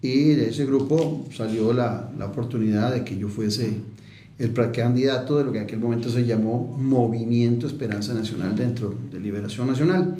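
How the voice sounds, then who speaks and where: A man with a Costa Rican accent speaks at a moderate pace with ordinary pitch variation, amid noticeable background noise and audible room echo. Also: medium pitch for a man. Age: 60s. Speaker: politician and political analyst. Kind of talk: radio interview. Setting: radio studio.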